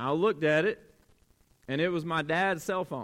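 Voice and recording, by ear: A man talks at a fairly slow pace with a fairly bright tone. His pitch is fairly high, with ordinary variation.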